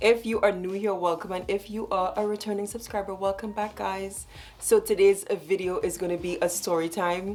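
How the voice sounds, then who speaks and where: A woman speaks at a medium pitch with a Trinidadian accent. Music plays in the background. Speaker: storytime vlogger. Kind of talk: storytelling monologue. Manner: fast; animated.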